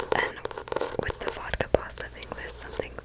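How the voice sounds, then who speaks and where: The woman talks in a whisper. Clear background noise can be heard. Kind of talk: ASMR rambling to camera.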